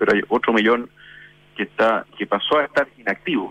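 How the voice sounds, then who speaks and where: Speaking at a fairly quick pace, a man uses a plain, everyday voice at medium pitch. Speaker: business association president. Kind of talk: radio interview.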